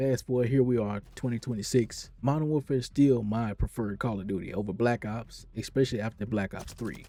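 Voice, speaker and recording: A man's dark, mellow voice at a fairly quick pace, with hardly any pauses and fairly even intonation. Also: medium pitch for a man. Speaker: gamer. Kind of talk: casual talk to camera.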